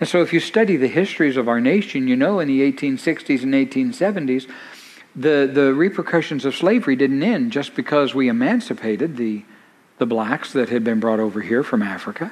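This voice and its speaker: Speaking in an unremarkable speaking voice with an American accent, a man uses lively intonation at a moderate pace and a fairly high pitch. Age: 50s. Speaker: pastor. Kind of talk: sermon.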